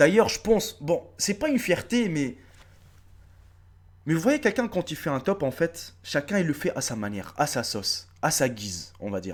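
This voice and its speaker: This man talks at a moderate pace with a fairly high pitch, vocal fry, an animated tone and very wide pitch swings, on a very clean recording with a silent background. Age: 30s. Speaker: YouTuber. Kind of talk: casual vlog address to subscribers. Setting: face-camera video.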